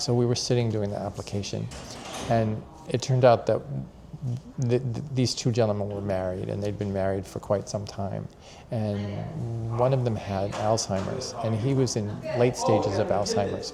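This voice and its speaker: Over noticeable background noise, a man speaks at a moderate pace with fairly low pitch and fairly even intonation. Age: 60s. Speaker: senior center volunteer. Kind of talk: interview.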